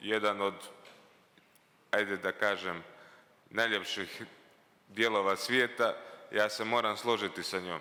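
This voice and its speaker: Speaking at a fairly quick pace, a man with a Montenegrin accent has a fairly low pitch, monotone, flat intonation and a bright, sharp tone. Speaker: mayor. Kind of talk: formal speech.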